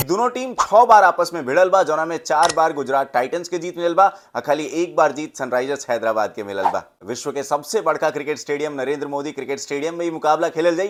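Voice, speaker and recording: A man speaks at a fairly high pitch with lively intonation and hardly any pauses. The recording is very clean, with a silent background. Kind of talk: Bhojpuri-language cricket match preview commentary. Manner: energetic, humorous sports commentary.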